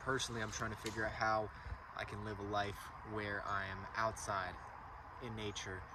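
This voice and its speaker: A man with a fairly low voice speaks in a flat monotone, with long, frequent pauses. Background noise is noticeable. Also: moderate pace. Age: 20s. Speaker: landscaping business owner. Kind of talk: casual talk to camera. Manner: rambling, hesitant.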